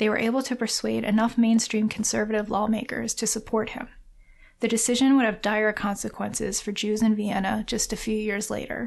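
At a fairly quick pace, a woman with a fairly high pitch and vocal fry speaks in a monotone, flat intonation against a quiet background. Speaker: podcast host. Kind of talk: narrative podcast narration.

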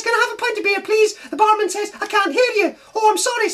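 This is a cartoonish character voice at an extremely high pitch. The delivery comes at a very fast pace. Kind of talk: comic overacting. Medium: puppet show. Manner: fast, punning, jokey.

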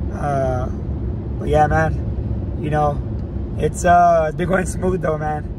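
A man speaks over noticeable background noise. The sound is dry, with no echo. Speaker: vlogger. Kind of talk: casual vlog chat. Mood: relaxed, upbeat. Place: car. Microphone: phone near.

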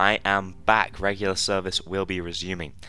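Very deep and low in pitch, a man with a British accent speaks in a bright, sharp tone. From United Kingdom. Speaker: gaming YouTuber. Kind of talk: casual vlog update.

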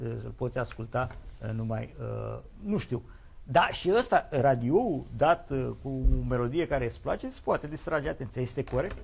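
The loudness swings widely while the pace stays moderate. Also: man. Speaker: TV talk show host. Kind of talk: live TV studio debate. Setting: TV studio. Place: studio. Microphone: lapel.

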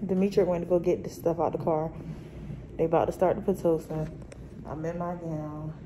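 Over noticeable background noise, a woman talks in a fairly low pitch with monotone, flat intonation. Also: fairly quick pace. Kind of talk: casual vlog chat. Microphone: phone near.

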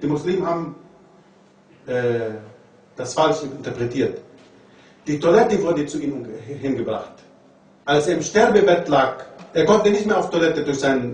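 With audible room echo around him, a man talks at a moderate pace. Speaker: religious lecturer. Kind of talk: lecture. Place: classroom.

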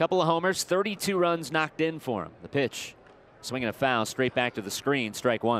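With a normal speaking voice, a man talks at a moderate pace at a fairly high pitch with lively intonation. His loudness swings widely, and the sound is dry and close with no echo. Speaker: baseball broadcaster. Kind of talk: live sports commentary, play-by-play. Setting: stadium broadcast booth.

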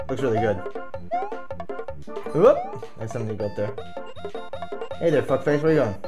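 A man talks with clear music audible behind him. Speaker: game streamer. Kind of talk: gaming commentary.

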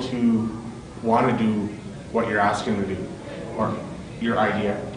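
A man is heard with noticeable background noise and audible room echo. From western Canada. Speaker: public speaking club officer. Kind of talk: panel discussion. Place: hall. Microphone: camera far.

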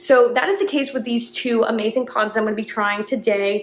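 A woman talks at a fairly quick pace, her pitch varying in an ordinary way. Room echo is audible. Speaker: coffee content creator. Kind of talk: casual vlog chat. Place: kitchen. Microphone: phone near.

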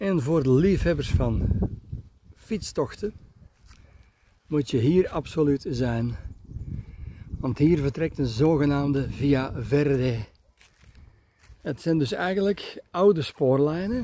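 A man's dark, mellow voice at a very slow pace, lively intonation broken by long, frequent pauses, dry sound with no echo and light background noise. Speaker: camper travel vlogger. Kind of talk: casual vlog commentary. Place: street. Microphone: phone near.

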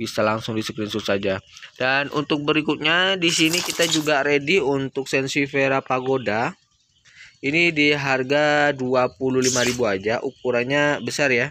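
A man with a fairly high pitch talks at a fairly slow pace in an upbeat tone that is bright and sharp, with very even loudness. Light background noise is present, and the sound is dry with no echo. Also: ordinary pitch variation. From East Java, Indonesia. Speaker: plant seller vlogger. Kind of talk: street-seller sales pitch, rattling off promo prices with repeated phrases. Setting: plant shop, filmed video. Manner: repetitive, pushy and upbeat, repeating each price two or three times. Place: garden. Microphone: phone near.

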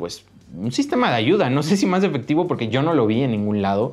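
Lively intonation marks this man's speech in a Mexican accent. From Mexico. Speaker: YouTuber. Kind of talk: vlog monologue. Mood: complaining but friendly. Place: studio.

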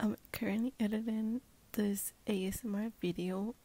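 A woman's dark, mellow, somewhat breathy voice in a monotone, flat intonation, the sound dry with no echo. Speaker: vlogger. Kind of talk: casual vlog chat. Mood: cheerful, amused. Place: home room. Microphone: earbuds.

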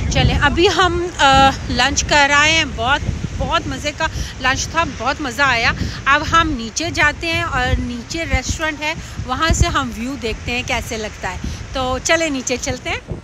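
Speaking at a very slow pace, a woman with a high pitch comes through dry with no echo, amid noticeable background noise. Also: ordinary pitch variation. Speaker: travel vlogger. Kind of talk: casual vlog chat. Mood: cheerful, relaxed. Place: waterside. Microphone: phone near.

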